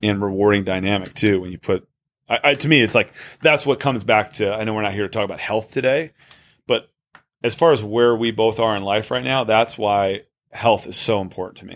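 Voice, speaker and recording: Using a normal speaking voice, a man talks at a moderate pace in a fairly low pitch with ordinary pitch variation. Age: 30s. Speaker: podcast co-host and father. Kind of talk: casual chat. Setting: studio.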